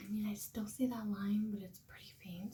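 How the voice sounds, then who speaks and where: A woman speaks quietly at a fairly quick pace, with a medium pitch, a dark, mellow tone, a somewhat breathy sound and fairly even intonation. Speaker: vlogger trying to conceive. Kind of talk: casual vlog talking to camera. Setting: at home, early morning. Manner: quiet, hushed.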